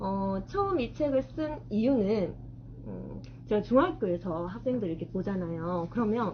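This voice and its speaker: A woman with a strong Gyeongsang accent speaks at a fairly slow pace. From South Gyeongsang, Korea (Changwon, Masan). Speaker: middle school math teacher and author. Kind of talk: author talk to an audience. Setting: bookstore event with live audience.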